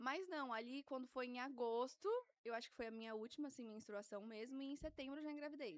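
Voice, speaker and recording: With a high voice, a woman speaks at a fairly quick pace. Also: ordinary pitch variation. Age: 20s. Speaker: guest mother sharing birth story. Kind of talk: casual interview chat. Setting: studio.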